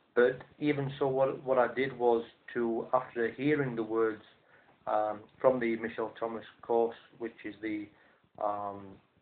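Speaking in a Yorkshire accent, a man keeps a fairly slow pace and fairly even intonation. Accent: Northern English (Yorkshire). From South Yorkshire, England. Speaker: language teacher. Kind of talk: monologue to camera. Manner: hesitant, with frequent fillers. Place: home room. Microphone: webcam.

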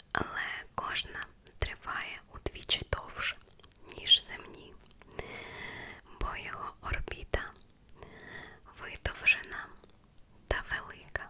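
A woman whispers in a soothing tone at a very slow pace, with long, frequent pauses. Her loudness swings widely, and background noise is noticeable. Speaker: ASMR creator. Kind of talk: ASMR whispered facts reading for sleep. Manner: whispered, soft, slow, soothing.

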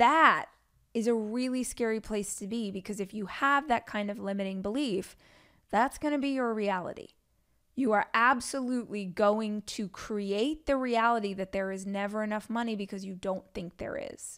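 Against a quiet background, the speaker keeps a moderate pace with ordinary pitch variation. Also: woman. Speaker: podcast host. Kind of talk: podcast advice monologue. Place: home room. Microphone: studio mic.

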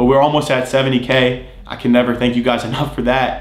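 There is audible room echo as someone speaks at a very fast pace in a monotone, flat intonation. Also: man. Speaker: fitness content creator. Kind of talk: casual vlog chat. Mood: grateful, earnest. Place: home room.

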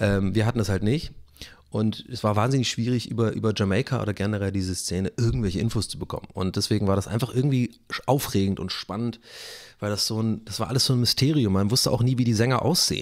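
A man's fairly low voice at a very fast pace, ordinary pitch variation, and a quiet background. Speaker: YouTuber and streamer; YouTuber, streamer. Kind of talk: casual solo vlog monologue. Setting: home studio in living room. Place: home room. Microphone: close to the microphone; studio mic.

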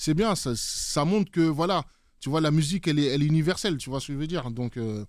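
Talking at a very fast pace, a man uses a fairly high voice. His pitch varies in an ordinary way. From French Antilles. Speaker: DJ and music producer. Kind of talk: casual interview. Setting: studio.

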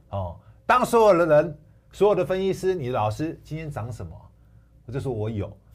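A somewhat breathy man of fairly high pitch at a fairly quick pace, with very wide pitch swings, big swings in loudness and long, frequent pauses. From Taiwan. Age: 40s. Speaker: stock analyst. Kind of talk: sales pitch. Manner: animated. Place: studio. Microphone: lapel.

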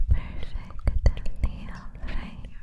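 Whispering from a female speaker. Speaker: ASMR creator. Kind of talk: soft whispered ASMR talk to viewer. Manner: slow intimate whisper. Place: home room. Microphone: studio mic.

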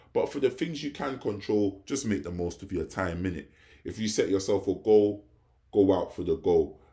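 A man speaks with a London accent at a moderate pace. The background is quiet. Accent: London English, multicultural London English. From England, London (Hackney). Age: 20s. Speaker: vlogger. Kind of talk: casual vlog monologue. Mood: reflective, philosophical. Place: home room. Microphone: phone near.

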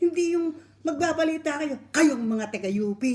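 With a dark, mellow tone, a woman speaks in very wide pitch swings. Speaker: online video commentator ranting about news broadcasters. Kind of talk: angry rant scolding news presenters, sarcastic lecture. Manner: scolding, indignant, emphatic, repeating 'di ba?' for emphasis.

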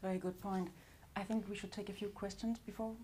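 The voice is dark, mellow and somewhat breathy, with fairly even intonation at a moderate pace over light background noise. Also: woman. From Denmark. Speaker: moderator. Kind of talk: moderated panel. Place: hall. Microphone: lapel.

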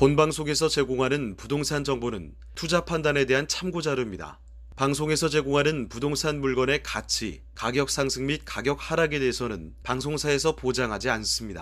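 A man's medium-pitched voice with vocal fry, ordinary pitch variation and a moderate pace. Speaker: announcer. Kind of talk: scripted disclaimer.

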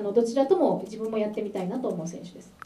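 A woman is heard over light background noise. The room echo is audible. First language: Japanese. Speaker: interviewer and interpreter; interviewer. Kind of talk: interview with interpreting. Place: meeting room.

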